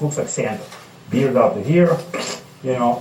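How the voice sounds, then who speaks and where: Amid noticeable background noise and audible room echo, a man with an American accent speaks at a moderate pace with lively intonation. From outside the United States. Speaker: recovering alcoholic speaker. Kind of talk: testimony.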